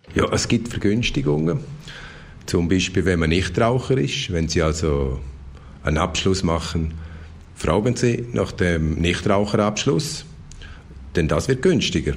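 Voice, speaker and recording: At a fairly slow pace with long, frequent pauses, the voice has lively intonation and very even loudness, with audible room echo. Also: man, very deep, low pitch for a man. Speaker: insurance and consumer expert. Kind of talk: radio interview.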